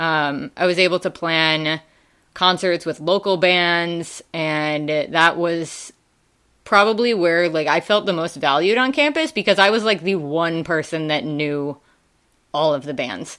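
This speaker has a bright, sharp tone and a Midwestern US accent. The pace is fairly slow, with ordinary pitch variation. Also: woman, fairly low pitch for a woman. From Wisconsin, US Midwest. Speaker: school staff, student activities coordinator. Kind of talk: casual conversational interview.

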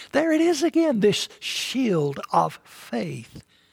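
Speaking at a very slow pace in an East Tennessee accent, a man makes very wide pitch swings. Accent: Southern US (East Tennessee). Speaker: pastor. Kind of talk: sermon.

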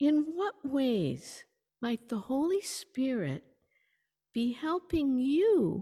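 A woman's high-pitched voice, dark and mellow in tone, with lively intonation, a very slow pace and a dry, close sound with no echo. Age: 70s. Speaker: preacher. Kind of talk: sermon. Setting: church service, partly streamed online.

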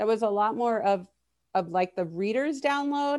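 A woman with an American accent and an unremarkable speaking voice talks at a moderate pace and a fairly high pitch. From Miami, Florida. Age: 30s. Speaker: psychotherapist. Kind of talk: casual chat.

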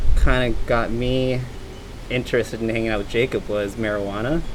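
Medium pitch from a man at a moderate pace, fairly even intonation, and noticeable background noise. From Hawaii. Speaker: interviewee, friend. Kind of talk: casual chat. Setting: outdoors, backyard.

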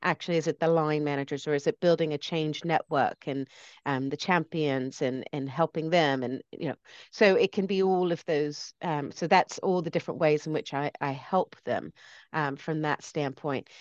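In a dry, close recording with no echo and a quiet background, a woman with an American accent speaks at a moderate pace in a very deep, low pitch with fairly even intonation. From US, lives in Britain. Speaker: change consultant and speaker. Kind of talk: interview conversation.

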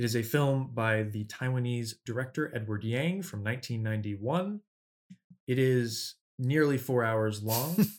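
Here is a man with a normal speaking voice at medium pitch and a moderate pace. His pitch varies in an ordinary way, on a very clean recording with a silent background. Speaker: podcast host. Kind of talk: casual chat.

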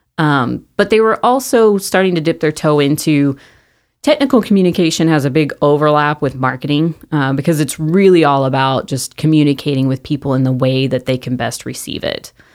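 A woman with an American accent speaks at a fairly quick pace in a very deep, low pitch. Her pitch variation is ordinary, and the recording is very clean with a silent background. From Mesquite, Texas. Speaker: marketing business founder. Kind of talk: casual interview chat.

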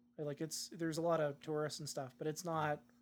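This man has a normal speaking voice with a Canadian accent, talking at a fairly quick pace in a fairly high pitch. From Canada, Saanich near Victoria, British Columbia. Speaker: podcast co-host. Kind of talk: casual chat.

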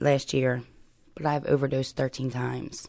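A woman's very deep, low pitch with vocal fry and an American accent, at a moderate pace. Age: 30s. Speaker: person in addiction recovery. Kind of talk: personal testimony interview.

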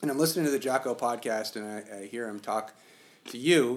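With a plain, everyday voice, a man talks at a fairly quick pace and medium pitch, his intonation lively, on a very clean recording with a silent background. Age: 40s. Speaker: podcast host. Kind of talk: interview conversation.

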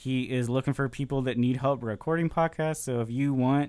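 A man at a medium pitch and fairly quick pace, with fairly even intonation. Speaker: pop culture podcast co-host. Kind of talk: casual chat.

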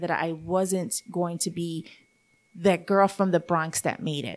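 A woman with a New York accent, fairly low in pitch, at a fairly slow pace with ordinary pitch variation, in a very clean recording with a silent background. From Puerto Rico, raised in New York. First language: Spanish. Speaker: chamber of commerce director and radio host. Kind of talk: interview.

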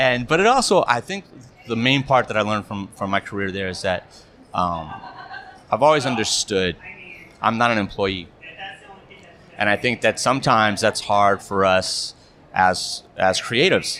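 Long, frequent pauses break up a man's speech amid noticeable background noise. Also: fairly low pitch for a man, ordinary pitch variation, moderate pace. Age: 50s. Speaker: corporate and wedding videographer. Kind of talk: casual chat.

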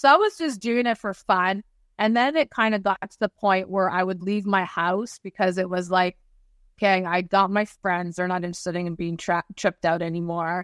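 A woman with an unremarkable speaking voice talks at a moderate pace and medium pitch, with ordinary pitch variation. The sound is dry and close with no echo, against a quiet background. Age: 50s. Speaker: spiritual energy healer. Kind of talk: interview.

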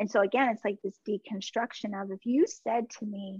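Here a woman with an American accent speaks at a moderate pace, her fairly high voice somewhat breathy and her intonation fairly even. The sound is dry and close, with no echo. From US East Coast (Washington DC). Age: 40s. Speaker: Reiki master and mentor. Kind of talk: casual interview chat.

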